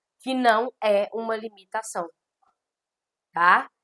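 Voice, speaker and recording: The woman's voice is fairly high with ordinary pitch variation. She speaks very slowly, and the sound is dry and close with no echo. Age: 40s. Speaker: law teacher. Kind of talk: lecture. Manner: conversational.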